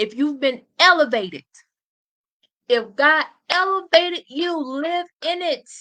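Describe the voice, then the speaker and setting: With a high pitch and a bright, sharp tone, a woman uses a raised, projected voice, an animated tone and lively intonation, speaking at a fairly slow pace with long, frequent pauses. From US, urban housing projects. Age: 30s. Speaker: motivational podcast host. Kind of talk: motivational talk.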